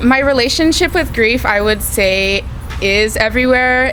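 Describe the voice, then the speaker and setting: Audible room echo hangs around a woman's voice. She talks fairly slowly, with ordinary pitch variation. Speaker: college radio co-host, recent graduate. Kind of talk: interview. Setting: record store. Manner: halting, many fillers.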